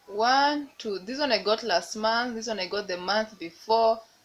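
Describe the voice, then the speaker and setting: At a moderate pace, a woman with a Kenyan accent speaks at a medium pitch with lively intonation. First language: Swahili. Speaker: lifestyle vlogger. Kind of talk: casual vlog talk.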